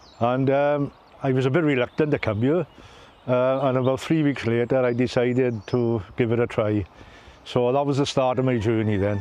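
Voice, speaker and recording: A man with a south Wales accent speaks at a medium pitch in a dark, mellow tone with fairly even intonation. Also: moderate pace, very even loudness. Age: 60s. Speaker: former volunteer. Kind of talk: interview testimony. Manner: halting.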